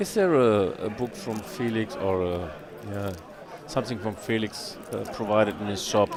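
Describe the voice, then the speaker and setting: A man with a German accent, fairly low pitch, ordinary pitch variation and a moderate pace, plus audible room echo and crowd noise in the background. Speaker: poker stream commentator. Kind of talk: live commentary.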